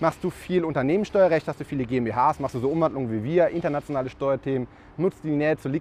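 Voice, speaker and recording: A man with a plain, everyday voice speaks at a fairly quick pace, his fairly high pitch showing ordinary variation. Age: 30s. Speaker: tax advisor, podcast host. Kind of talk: casual interview. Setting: on location over lunch.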